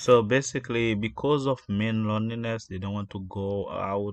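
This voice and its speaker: Over a quiet background, a man talks at a fairly low pitch with fairly even intonation. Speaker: commentary channel host. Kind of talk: casual commentary. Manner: slow, deliberate; loud.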